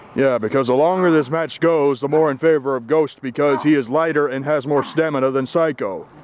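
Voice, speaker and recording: This man has a normal speaking voice with a fairly high pitch. He talks at a fairly quick pace with fairly even intonation. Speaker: wrestling commentator. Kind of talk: live wrestling commentary, backyard match call. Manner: ring announcer style intro.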